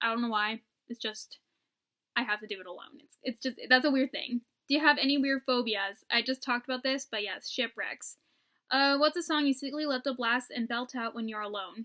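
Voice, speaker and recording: A woman's high-pitched, bright, sharp voice with an animated tone, ordinary pitch variation, moderate pace and big swings in loudness, in a very clean recording with a silent background and a dry, close sound with no echo. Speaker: vlogger. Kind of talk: casual chat. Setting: at home.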